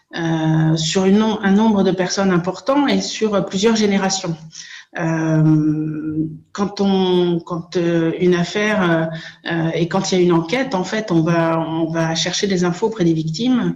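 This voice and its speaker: In a room with audible echo, a woman speaks at a very slow pace and fairly low pitch, her loudness very even. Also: ordinary pitch variation. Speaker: association coordinator and abuse survivor. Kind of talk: conference talk. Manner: hesitant, many filler sounds.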